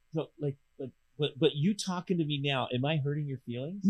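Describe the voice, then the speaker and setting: A man's fairly high voice at a fairly quick clip, with ordinary pitch variation. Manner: loud, projects voice; energetic.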